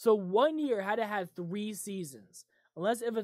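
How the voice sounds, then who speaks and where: Here a woman talks at a medium pitch. Her pace is fairly quick. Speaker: podcast host. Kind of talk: casual chat. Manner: low volume. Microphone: set quieter than co-hosts.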